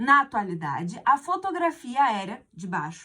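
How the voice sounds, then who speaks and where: A woman speaks in a raised, projected voice at a fairly slow pace. Her pitch swings very widely. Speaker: teacher. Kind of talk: exam correction lesson.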